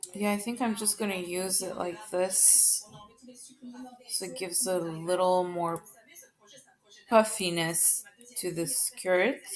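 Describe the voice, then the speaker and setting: Soft-spoken, a woman with a medium pitch talks at a very slow pace with long, frequent pauses and fairly even intonation. Noticeable background noise sits behind her. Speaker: video tutorial maker. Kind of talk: tutorial.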